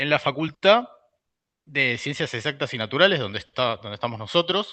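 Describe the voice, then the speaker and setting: A man's fairly quick, lively-sounding speech at a fairly high pitch. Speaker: university researcher and lecturer. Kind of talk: lecture. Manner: hesitant, many fillers.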